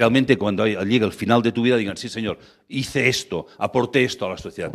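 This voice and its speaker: A man talks very fast on a very clean recording where the background is silent. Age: 60s. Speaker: lecturer on ethical banking. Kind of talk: lecture. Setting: stage with audience.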